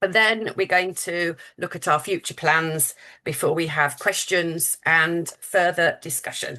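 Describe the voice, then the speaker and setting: A woman with a British accent talks at a fairly slow pace in a bright, sharp tone with fairly even intonation. The background is quiet. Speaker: charity fundraising manager. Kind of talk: webinar presentation. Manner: hesitant, many fillers.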